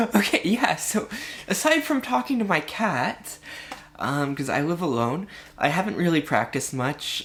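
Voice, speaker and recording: A woman's fairly slow, lively-toned speech amid noticeable background noise. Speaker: vlogger. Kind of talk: casual vlog monologue. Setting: home, alone with cat. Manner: halting, many fillers and restarts; voice fluctuating, practicing feminized pitch.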